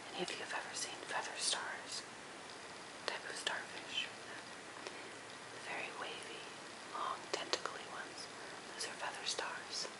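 Whispering and soft-spoken at a fairly slow pace, the speaker leaves long, frequent pauses against loud background noise. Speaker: presenter. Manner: soft ASMR whisper.

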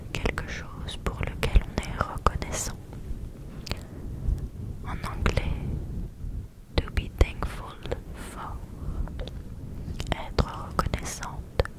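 A woman whispers, soft-spoken and very slow, with long, frequent pauses. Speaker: ASMR creator. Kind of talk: soft-spoken ASMR affirmations. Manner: close, soft whisper into the mic. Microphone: studio mic.

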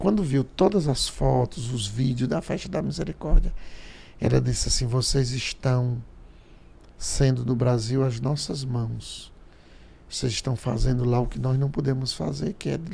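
A man speaks at a fairly slow pace with lively intonation and long, frequent pauses. His tone is dark and mellow, and somewhat breathy. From Paraíba, Brazilian Northeast. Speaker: priest podcast guest. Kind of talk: casual chat. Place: studio. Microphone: studio mic.

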